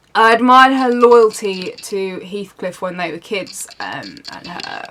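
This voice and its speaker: A woman with a British accent at a fairly slow pace and medium pitch, hardly any pauses, ordinary pitch variation and big swings in loudness. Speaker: book reviewer. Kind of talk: casual talk to camera.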